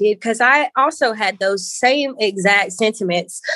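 A woman talks at a moderate pace. Noticeable background noise is present. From Valdosta, Georgia, US South. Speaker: founder of body positivity movement. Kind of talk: casual interview chat.

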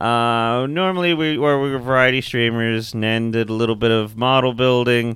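A man with an unremarkable speaking voice talks at a moderate pace with hardly any pauses. His pitch varies in an ordinary way, and his loudness stays very even. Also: medium pitch for a man. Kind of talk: casual chat. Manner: joking.

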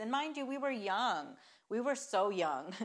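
A woman talks in an unremarkable speaking voice. Her pace is moderate and her intonation lively. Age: 20s. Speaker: business partner and wife of the host. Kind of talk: casual chat.

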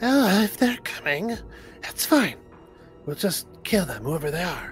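A put-on character voice, gravelly and at a middle pitch, goes at a fairly slow pace over clear music in the background. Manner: menacing.

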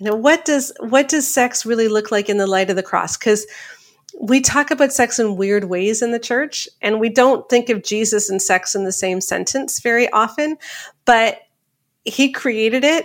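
A woman with an ordinary speaking voice and a Canadian accent talks at a moderate pace and a fairly high pitch, with ordinary pitch variation. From Canada. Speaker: author and speaker. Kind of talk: interview.

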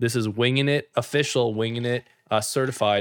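Using an unremarkable speaking voice, a man talks at a medium pitch and fairly quick pace with fairly even intonation in a very clean recording with a silent background. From Canada. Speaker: podcast co-host. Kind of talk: casual chat.

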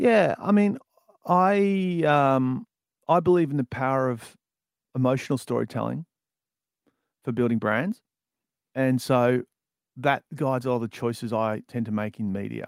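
With an Australian accent, a man talks at a moderate pace in a medium pitch, using lively intonation and long, frequent pauses, in a dry, close sound with no echo. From Australia, outer suburbs of Melbourne. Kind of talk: interview.

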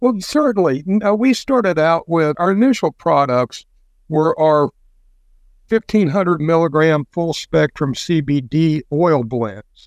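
A man's normal speaking voice with an American accent, fairly high in pitch, at a fairly slow pace, with very even loudness and a dry, close sound with no echo. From US Midwest (rural Indiana). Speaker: business founder. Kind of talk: casual interview.

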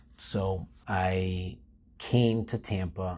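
A man with an American accent talks against a quiet background. His very deep, low voice has a dark, mellow tone and sounds somewhat breathy. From Florida. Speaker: lawyer. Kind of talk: interview monologue. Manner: halting.

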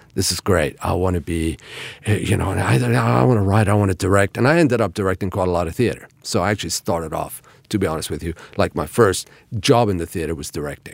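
A man speaks at a very fast pace with lively intonation. His very deep, low voice carries vocal fry. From Iran. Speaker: actor and acting teacher. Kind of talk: casual chat.

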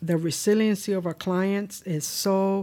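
A woman's medium-pitched, monotone, flat delivery at a very slow pace, on a very clean recording with a silent background. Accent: Spanish. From Cuba, Pinar del Rio. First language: Spanish. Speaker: state social services commissioner. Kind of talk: interview. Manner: halting, many fillers.

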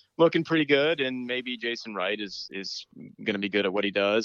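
At medium pitch, a man speaks with ordinary pitch variation. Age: 40s. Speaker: sports blogger. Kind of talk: casual chat. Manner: halting.

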